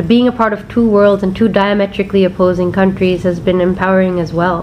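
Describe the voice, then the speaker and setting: The speech is very fast and monotone, with flat intonation and an American accent. Background noise is noticeable. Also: woman, medium pitch for a woman. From India, Bombay. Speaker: former tennis player turned media entrepreneur. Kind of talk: personal testimony.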